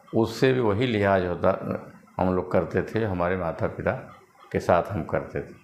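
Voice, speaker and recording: Noticeable background noise runs under this recording. A man speaks with fairly even intonation. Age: 60s. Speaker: social commentator. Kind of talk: monologue commentary.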